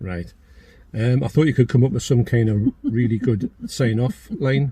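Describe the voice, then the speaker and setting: A man talks at a medium pitch in a Geordie accent. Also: ordinary pitch variation, moderate pace. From northeast England (Geordie). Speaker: YouTuber, channel owner. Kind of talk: casual chat. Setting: in a car.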